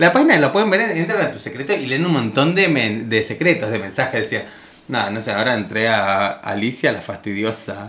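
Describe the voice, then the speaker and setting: Someone with a Rioplatense accent talks at a fairly quick pace over noticeable background noise. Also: man, medium pitch for a man, lively intonation. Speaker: radio host. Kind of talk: casual chat.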